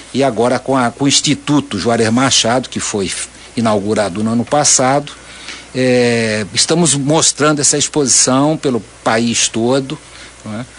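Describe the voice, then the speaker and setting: At a moderate pace and medium pitch, a man talks with ordinary pitch variation against noticeable background noise. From Santa Catarina, Brazil. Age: 70s. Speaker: visual artist. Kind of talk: radio interview. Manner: halting, many self-repetitions.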